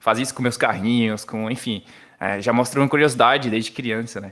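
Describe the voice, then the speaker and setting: Using a bright, sharp tone, a man speaks fairly quickly at a medium pitch with fairly even intonation. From Brazil, Paraíba (João Pessoa). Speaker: software developer. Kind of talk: casual podcast interview.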